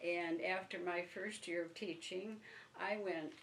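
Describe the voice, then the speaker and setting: A woman with a fairly low voice speaks fairly slowly in a monotone, flat intonation. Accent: Upper Midwest. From northern Michigan, Benzie County. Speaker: retired teacher, oral history interviewee. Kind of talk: oral history interview. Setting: at her home. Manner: halting.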